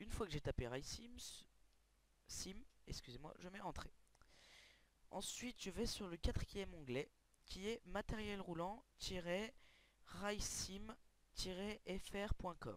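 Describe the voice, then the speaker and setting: A man with a high pitch speaks at a very slow pace with ordinary pitch variation. Long, frequent pauses break up his speech. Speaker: gaming video creator. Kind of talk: tutorial. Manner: loud.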